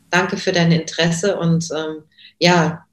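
Her pitch is very deep and low. The speaker is a woman. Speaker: voice actress. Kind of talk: interview.

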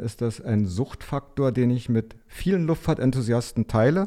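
A man's medium-pitched, dark, mellow voice at a moderate pace with ordinary pitch variation, against a quiet background. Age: 50s. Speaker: aviation PR consultant. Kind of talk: interview.

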